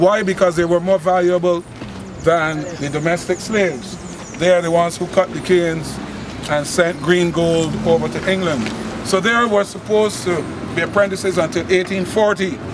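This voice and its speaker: Over noticeable background noise, a man in a Barbadian accent speaks at a moderate pace with a high pitch. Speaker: folk historian and tour guide. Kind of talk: live walking-tour talk. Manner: lively storytelling.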